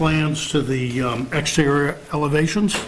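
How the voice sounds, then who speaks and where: In a normal speaking voice, a man talks at a fairly high pitch with fairly even intonation over light background noise. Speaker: builder representing homeowners. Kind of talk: public meeting presentation. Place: meeting room. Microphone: podium.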